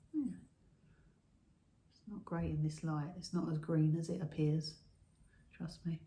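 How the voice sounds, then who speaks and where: Soft-spoken and somewhat breathy, a woman with a British accent speaks at a fairly slow pace in a very deep, low pitch and a dark, mellow tone, her intonation monotone and flat, with long, frequent pauses and big swings in loudness. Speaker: pottery YouTuber. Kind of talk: casual show-and-tell video. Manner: halting. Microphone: no microphone, camera audio.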